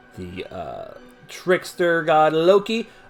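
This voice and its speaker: Music plays in the background. Over it, a man speaks with an American accent. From US, Baltimore. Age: 20s. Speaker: podcast host. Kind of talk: casual commentary. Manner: halting, many fillers; animated.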